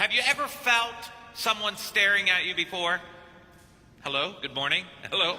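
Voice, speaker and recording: At a moderate pace, a man with a high pitch projects his raised voice with lively intonation and long, frequent pauses over noticeable background noise. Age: 50s. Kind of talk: sermon. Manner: animated.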